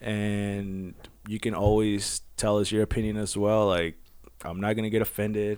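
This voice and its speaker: In a fairly low, monotone voice with flat intonation, a man talks at a moderate pace. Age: 20s. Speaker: podcast co-host. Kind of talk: casual chat.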